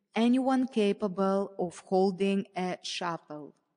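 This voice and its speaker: A woman with a non-native accent. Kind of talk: memoir passage reading.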